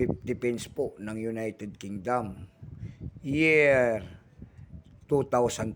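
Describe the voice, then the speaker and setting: A man talks at a medium pitch and a very slow pace, with long, frequent pauses. His loudness swings widely while his pitch varies in an ordinary way. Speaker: coin collector vlogger. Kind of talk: casual vlog. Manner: repetitive filler-heavy delivery.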